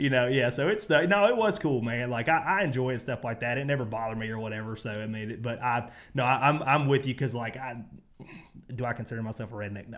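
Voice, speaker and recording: A man talks at a very fast pace in a medium pitch. His loudness swings widely. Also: ordinary pitch variation. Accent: Southern US. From US South. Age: 30s. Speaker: athlete. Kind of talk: casual chat. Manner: animated.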